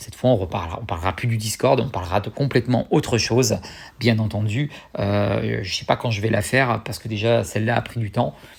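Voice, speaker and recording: A somewhat breathy male voice. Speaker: YouTuber. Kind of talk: casual vlog talk to viewers. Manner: fast; hesitant with many fillers.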